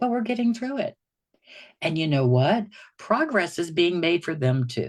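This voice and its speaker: A woman with a fairly low pitch makes very wide pitch swings. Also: moderate pace. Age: 60s. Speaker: recovery program client. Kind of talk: casual chat. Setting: livestream video call.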